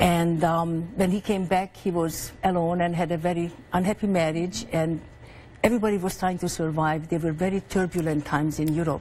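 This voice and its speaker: Speaking with a Hungarian accent, a woman has a fairly low pitch and a dark, mellow tone. Her pace is moderate and her intonation fairly even. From Hungary. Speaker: author. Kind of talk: TV interview.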